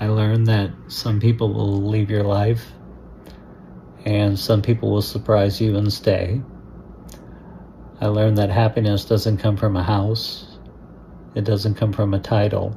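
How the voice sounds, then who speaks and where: A man speaks at a fairly slow pace in a monotone, flat intonation, with long, frequent pauses. Noticeable background noise is present. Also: fairly low pitch for a man. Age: 60s. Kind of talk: personal story told to camera. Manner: reflective, slow.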